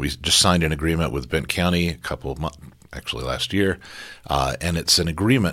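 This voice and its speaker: A man speaks at a very fast pace with a very deep, low pitch and vocal fry in a bright, sharp tone. The recording is very clean, with a silent background. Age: 60s. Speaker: mayoral candidate and city council member. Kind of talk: interview answers.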